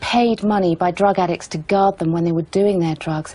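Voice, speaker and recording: A woman talks at a moderate pace in a serious tone. Her intonation stays fairly even. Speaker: television reporter. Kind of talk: documentary narration with on-location reporting. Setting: outdoors on location in Kabul. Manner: serious, sombre, measured; urgent, conversational reporting on the spot. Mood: upset, emotional. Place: home room.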